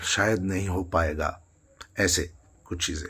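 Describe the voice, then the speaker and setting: A man is talking at a very slow pace. His pitch variation is ordinary. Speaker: singer and music student. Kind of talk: motivational talk to camera. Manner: hesitant, with fillers.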